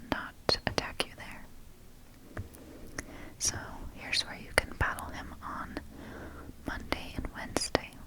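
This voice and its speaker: Over noticeable background noise comes whispering at a very slow pace. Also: woman. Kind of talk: ASMR page-flipping guidebook reading. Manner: whispered.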